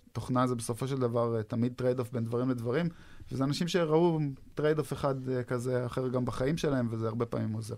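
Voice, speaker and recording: Fairly even intonation in a man's medium-pitched voice, moving at a fairly quick pace. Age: 30s. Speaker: software development group manager. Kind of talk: interview. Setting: studio. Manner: hesitant, many fillers.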